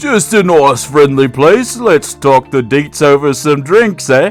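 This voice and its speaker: A man does a put-on character voice at a fairly high pitch and a fairly slow pace, with lively intonation. Clear music plays in the background. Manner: friendly yet menacing.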